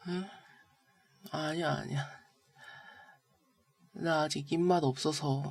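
This woman has a very deep, low pitch and fairly even intonation, speaking at a very slow pace with long, frequent pauses. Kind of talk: girlfriend roleplay ASMR, sick and playful with partner. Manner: soft, intimate, coaxing, whispery.

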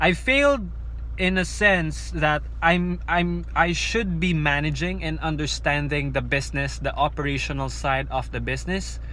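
A man's voice at a fairly slow pace, dry with no echo, over light background noise. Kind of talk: casual vlog chat. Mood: reflective, candid about failing. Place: car. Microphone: phone near.

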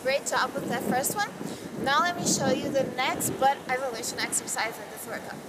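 Over loud background noise, a woman talks at a moderate pace with a high pitch. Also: ordinary pitch variation. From Brazil. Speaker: fitness model. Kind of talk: workout tutorial. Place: beach.

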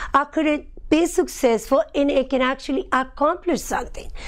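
The speaker talks with a Spanish accent. The background is quiet. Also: woman. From Colombia. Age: 30s. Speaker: personal trainer and health coach. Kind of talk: testimonial talk to camera. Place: studio. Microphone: lapel.

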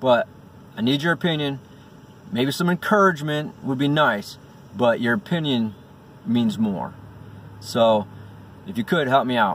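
With very wide pitch swings and long, frequent pauses, a man talks at a moderate pace in a dry sound with no echo over light background noise. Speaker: first-time vlogger. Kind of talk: casual vlog chat. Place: car. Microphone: phone near.

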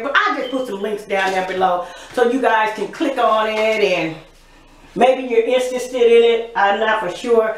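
At a moderate pace and with ordinary pitch variation, the voice carries audible room echo. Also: woman. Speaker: home vlogger. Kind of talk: casual vlog chat. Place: bathroom.

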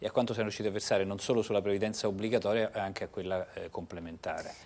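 A man with a fairly low voice speaks with fairly even intonation. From Italy. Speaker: public pension agency head; guest. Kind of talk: TV interview. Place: studio.

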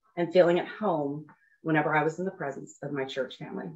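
Speaking at a fairly quick pace, a woman uses a normal speaking voice with ordinary pitch variation. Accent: American. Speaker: church member. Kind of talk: testimony.

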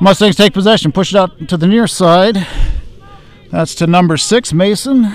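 The man's voice sits high, with ordinary pitch variation and a dry sound that has no echo. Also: moderate pace. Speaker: high school soccer commentator. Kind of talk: live commentary. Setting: outdoors at a soccer field, streaming live. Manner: relaxed, conversational, casual asides between plays. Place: stadium.

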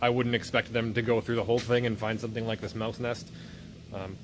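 Over noticeable background noise, a man speaks at a very fast pace in a monotone, flat way. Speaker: owner doing tractor maintenance. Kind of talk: casual vlog chat. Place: workshop. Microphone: phone near.

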